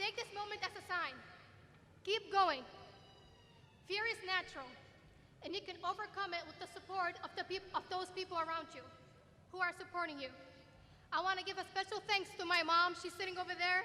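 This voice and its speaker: A woman speaks in a raised, projected voice at an extremely high pitch, her tone bright and sharp. The pace is fairly quick, the intonation fairly even, and long pauses come often. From Middle East (Kuwaiti/Jordanian). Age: 20s. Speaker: student speaker. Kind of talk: commencement speech. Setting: stage with audience in arena.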